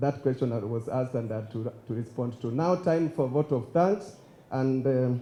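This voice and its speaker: This man's voice is somewhat breathy, with a dark, mellow tone and a medium pitch. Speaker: master of ceremonies. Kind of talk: event emceeing.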